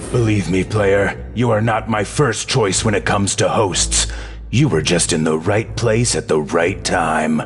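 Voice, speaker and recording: Clear music plays in the background as a cartoonish character voice speaks at a moderate pace. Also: man, very deep, low pitch for a man. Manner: sinister, coaxing.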